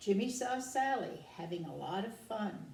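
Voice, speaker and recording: In a room with audible echo, a woman speaks at a very slow pace with lively intonation. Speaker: care home resident. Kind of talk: reading aloud.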